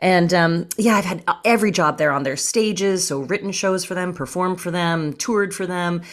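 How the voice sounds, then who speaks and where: A plain, everyday voice from a woman with a Canadian accent, fairly low in pitch, with ordinary pitch variation, a moderate pace and hardly any pauses. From Canada. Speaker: comedian. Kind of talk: casual chat. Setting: video call.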